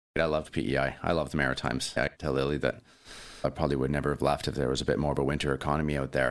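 A man with a Canadian accent talks at a very fast pace in a very deep, low pitch with vocal fry. His intonation is monotone and flat, and his loudness stays very even. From British Columbia, Canada. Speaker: chef and restaurant owner. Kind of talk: interview.

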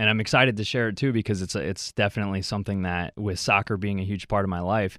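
In a very clean recording with a silent background, a man with an American accent uses an unremarkable speaking voice, fairly low in pitch with fairly even intonation. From Wisconsin, US. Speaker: former college athlete, youth minister. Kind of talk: radio interview.

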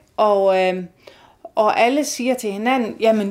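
A fairly high-pitched woman at a fairly slow pace on a very clean recording with a silent background. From Denmark, Aarhus. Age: 50s. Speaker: nurse and embroidery artist. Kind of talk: casual interview. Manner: hesitant with fillers.

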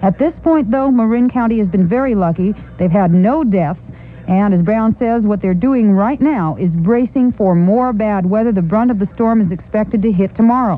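Moderately paced speech from a woman at medium pitch, its pitch varying in an ordinary way, set against background music. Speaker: radio news reporter. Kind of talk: radio news report. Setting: radio newsroom. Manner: brisk, formal, urgent.

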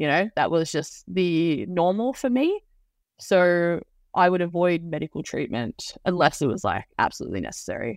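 A woman's fairly low voice, moderate in pace and lively in intonation, in a dry, close sound with no echo on a very clean recording with a silent background. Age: 20s. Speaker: youth counselor. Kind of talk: testimony. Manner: hesitant, many fillers.

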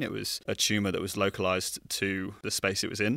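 The man's tone is bright and sharp. His pitch sits fairly low. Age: 30s. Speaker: emergency doctor. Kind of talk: casual interview.

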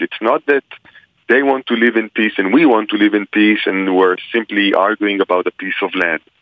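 A man with an Israeli accent, fairly low-pitched, at a moderate pace. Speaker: religion scholar. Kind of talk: interview answering questions. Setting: phone call.

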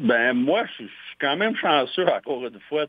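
This is a man speaking. He has a Quebec accent. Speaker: fire chief. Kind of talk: interview. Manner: halting.

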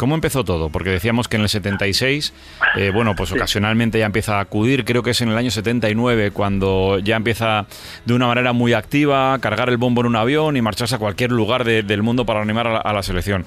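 Noticeable background noise sits behind a man talking at a very fast pace. His medium pitch shows ordinary variation, and his loudness stays very even. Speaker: radio host. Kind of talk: interview; scripted narration.

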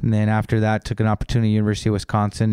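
Here is a man with an American accent and a dark, mellow tone. The recording is very clean, with a silent background. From Southern California. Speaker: college soccer head coach. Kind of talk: casual interview. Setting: office.

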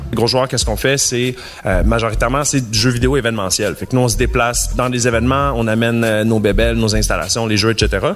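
A man speaking over music in the background. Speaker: game event organizer. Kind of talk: interview.

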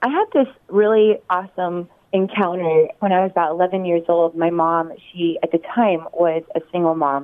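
Speaking with an American accent, a woman has a fairly low pitch and ordinary pitch variation. She keeps a moderate pace and very even loudness. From Oregon, US. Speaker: worship leader and singer. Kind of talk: interview, casual chat.

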